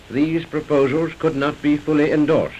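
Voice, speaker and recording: A man of fairly high pitch speaks in a flat monotone at a moderate pace, with noticeable background noise. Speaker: broadcasting director giving a speech. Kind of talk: formal inaugural speech.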